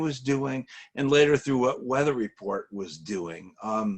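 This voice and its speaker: With lively intonation, a man at medium pitch talks in a normal speaking voice. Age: 60s. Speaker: interview host. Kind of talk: interview.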